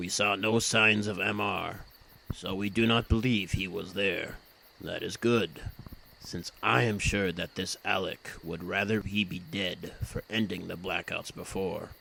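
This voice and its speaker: In a put-on character voice, a man speaks at a fairly low pitch and a fairly slow pace. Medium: audio drama. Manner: formal, measured.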